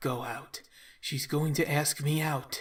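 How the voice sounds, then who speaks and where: Using a put-on character voice, a man speaks fairly slowly in a fairly high, raspy tone with monotone, flat intonation. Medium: read story. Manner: hesitant.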